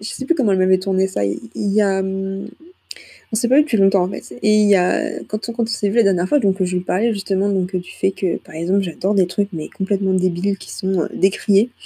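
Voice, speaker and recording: Somewhat breathy and dark, mellow in tone, a woman speaks at a medium pitch. Her pace is fairly quick, with ordinary pitch variation. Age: 20s. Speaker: student podcaster. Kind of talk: casual monologue. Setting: at home, late night. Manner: hesitant, many fillers.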